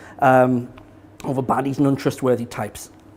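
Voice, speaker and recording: A man speaks with a slight northeast English accent. His pace is moderate. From northeast England. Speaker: business consultant giving a talk. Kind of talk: public talk. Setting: small live audience in an event space. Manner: halting, many repetitions and fillers.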